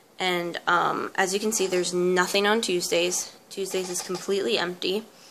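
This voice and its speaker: Noticeable background noise sits under a woman's voice. Her pitch is medium and her intonation is monotone and flat. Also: moderate pace. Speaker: homeschooling mom and vlogger. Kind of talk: casual tutorial. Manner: soft-spoken.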